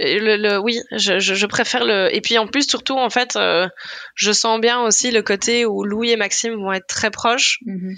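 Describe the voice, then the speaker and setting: The woman's tone is bright and sharp, at a fairly high pitch. She speaks fairly slowly, with fairly even intonation. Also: quiet background. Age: 30s. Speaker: food content creator and blogger. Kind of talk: casual chat.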